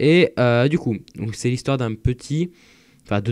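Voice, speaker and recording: A man speaks with lively intonation. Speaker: YouTuber reviewing manga. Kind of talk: casual vlog monologue. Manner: hesitant, many fillers.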